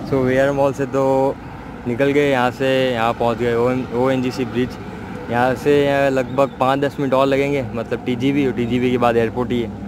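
Noticeable background noise sits behind a man's voice. He speaks at a fairly slow pace with monotone, flat intonation. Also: dry sound with no echo. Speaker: cycling vlogger. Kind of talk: casual vlog chat. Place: bicycle. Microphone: phone near.

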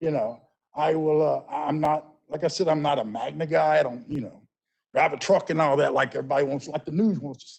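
Talking at a fairly quick pace, a man with a fairly high voice shows ordinary pitch variation and big swings in loudness. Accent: Memphis. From US South. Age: 60s. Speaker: business owner, public commenter. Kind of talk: public comment at council meeting. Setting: council meeting. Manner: halting, repeating words.

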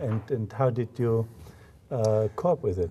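At a fairly slow pace, a man talks in a dark, mellow tone that is somewhat breathy, with ordinary pitch variation. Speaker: business school host. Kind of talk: interview. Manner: halting. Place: meeting room.

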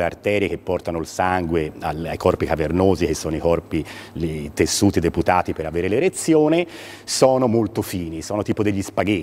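A man talks at a fairly quick pace. His pitch is very deep and low. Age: 50s. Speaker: urologist; guest. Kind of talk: TV interview. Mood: calm, explanatory. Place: studio. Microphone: lapel.

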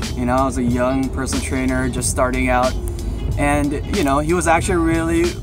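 Over clear background music, a man speaks at a fairly quick pace, and the sound is dry with no echo. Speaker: personal trainer. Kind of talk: casual vlog chat. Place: car. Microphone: phone near.

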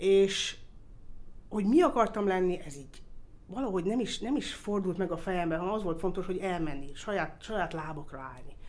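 Medium-pitched, a woman talks at a fairly quick pace with lively intonation and big swings in loudness. Audible room echo surrounds her voice. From Austria (Vienna), Hungarian family. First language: English (speaking Hungarian). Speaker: motorsport circuit executive. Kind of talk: interview. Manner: hesitant, with fillers.

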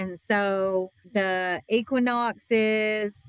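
A woman speaks with ordinary pitch variation in a dry sound with no echo. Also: quiet background. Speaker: podcast guest. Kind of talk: interview answer. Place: shop.

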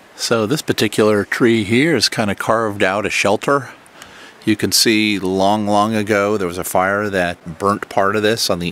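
A man speaks with a plain, everyday voice at a fairly low pitch. His pace is moderate, and the sound is dry with no echo. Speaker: travel vlogger. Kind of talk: casual tour commentary. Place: forest. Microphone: phone near.

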